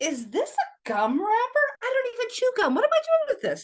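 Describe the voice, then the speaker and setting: Using a put-on character voice, a woman speaks at an extremely high, squeaky pitch. Her pitch swings very widely at a moderate pace. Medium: read story. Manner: wry, self-pitying.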